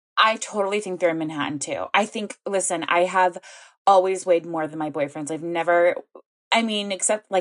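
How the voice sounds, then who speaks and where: An unremarkable speaking voice from a woman, fairly low in pitch with ordinary pitch variation, at a fairly quick pace. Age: 20s. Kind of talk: casual chat.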